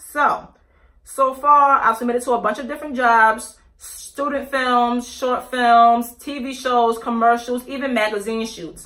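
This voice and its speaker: A woman speaks at a high pitch with fairly even intonation. Her tone is bright and sharp. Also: big swings in loudness. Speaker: YouTuber, aspiring actress and model. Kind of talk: casual vlog review. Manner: fast; halting, with many self-corrections and fillers.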